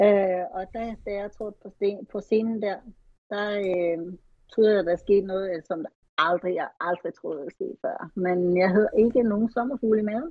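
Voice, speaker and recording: An ordinary speaking voice from a woman, medium in pitch, at a moderate pace with ordinary pitch variation. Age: 40s. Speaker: retired bodybuilding athlete. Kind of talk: casual interview.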